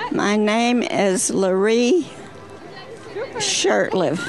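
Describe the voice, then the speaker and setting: Crowd noise fills the background as a woman speaks with audible room echo. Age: 90s. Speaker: rodeo queen's mother, spectator. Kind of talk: short interview. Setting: outdoors at a rodeo.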